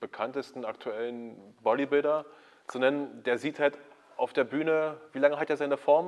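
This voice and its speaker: A man's medium-pitched voice, a normal speaking voice, with fairly even intonation at a moderate pace. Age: 30s. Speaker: YouTube host, fitness content creator. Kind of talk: casual interview. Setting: backstage at a sports school.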